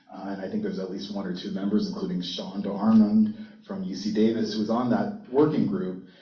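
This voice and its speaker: A man's fairly quick speech carries audible room echo and noticeable background noise. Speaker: university intellectual property attorney. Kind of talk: panel talk. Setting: conference stage with audience. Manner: loud.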